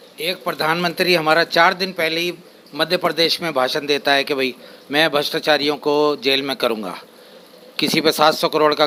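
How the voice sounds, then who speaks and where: There is noticeable background noise as a man with a fairly high voice talks at a moderate pace. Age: 70s. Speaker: member of public interviewee. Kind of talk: vox pop opinion.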